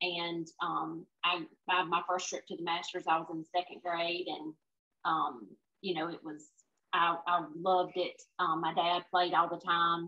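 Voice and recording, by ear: At a fairly slow pace, a woman speaks with a fairly low pitch and little pitch movement.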